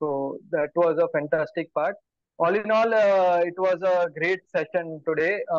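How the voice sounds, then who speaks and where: The intonation is fairly even against a quiet background. The sound is dry with no echo. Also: man. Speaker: table topics evaluator. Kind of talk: evaluation speech at a club meeting. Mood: warm, appreciative. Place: home room. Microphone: video call.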